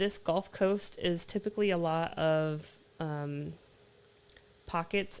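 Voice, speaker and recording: A woman with a normal speaking voice speaks at a fairly low pitch with ordinary pitch variation. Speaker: oil and gas mineral consultant. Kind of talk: live stream Q&A explainer. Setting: live stream on camera. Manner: casual, filler-heavy.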